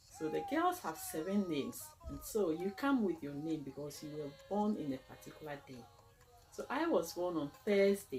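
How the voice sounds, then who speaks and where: A woman with a fairly low pitch speaks with very wide pitch swings. Her loudness rises and falls sharply, with music in the background. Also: moderate pace. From Ghana. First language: Akan. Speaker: cultural presenter. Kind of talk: educational talk.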